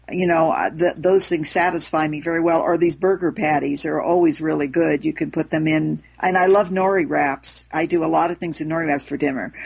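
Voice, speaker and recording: At a fairly quick pace, a woman speaks at a fairly low pitch with vocal fry and fairly even intonation. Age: 70s. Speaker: raw food advocate. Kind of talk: casual chat.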